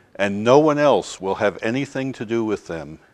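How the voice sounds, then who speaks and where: Against a quiet background, a man with a normal speaking voice talks at a fairly slow pace with lively intonation. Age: 60s. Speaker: church advocate. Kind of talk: testimony.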